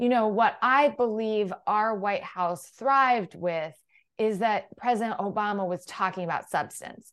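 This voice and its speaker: At a fairly slow pace, a woman with an American accent speaks at a fairly high pitch with ordinary pitch variation over a quiet background. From US Midwest (Illinois, Iowa). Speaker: political communications strategist. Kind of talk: interview conversation.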